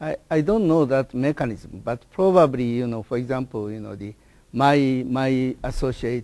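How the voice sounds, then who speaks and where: A man with a Japanese accent talks at a moderate pace. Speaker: professor. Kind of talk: interview. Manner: halting.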